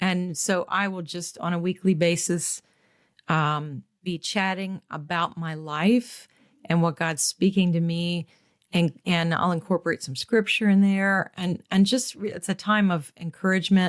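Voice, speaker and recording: Recorded very cleanly with a silent background and a dry, close sound with no echo, a woman with an American accent speaks at a fairly slow pace with fairly low pitch and fairly even intonation. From US Midwest, Michigan. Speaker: singer, violinist and radio host. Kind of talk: interview.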